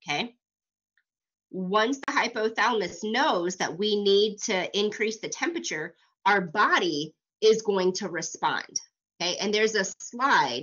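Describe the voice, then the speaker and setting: A woman speaks with an ordinary speaking voice, fairly high in pitch. Her intonation is lively, and her pace is fairly slow. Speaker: college instructor. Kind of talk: lecture.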